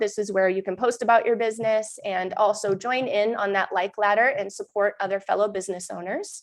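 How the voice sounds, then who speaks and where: A woman with a New Hampshire accent speaks at a fairly high pitch and a fairly quick pace. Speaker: mom group host and real estate agent. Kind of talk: live stream update. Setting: live stream. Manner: casual, chatty.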